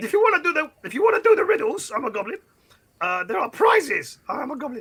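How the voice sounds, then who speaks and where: Very wide pitch swings mark this put-on character voice. It races along at a very fast pace. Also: man, extremely high pitch for a man. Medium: actual play. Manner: rambling, keeps repeating "I'm a goblin".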